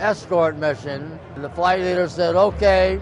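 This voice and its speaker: With music in the background, a man talks at a fairly slow pace in a high pitch, his intonation fairly even. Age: 80s+. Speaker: war veteran. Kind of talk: testimony.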